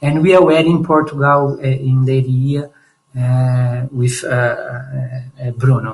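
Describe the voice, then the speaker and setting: A man talks at a fairly slow pace in a fairly high pitch. His intonation stays fairly even. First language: Portuguese. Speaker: startup founder. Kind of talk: pitch presentation. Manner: halting.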